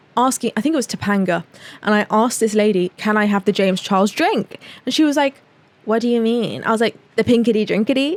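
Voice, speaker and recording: Spoken at a very fast pace in a British accent, the voice has an animated tone, ordinary pitch variation and very even loudness. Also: woman, fairly high pitch for a woman, dry, close sound with no echo. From England. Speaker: podcast host. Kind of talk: casual chat.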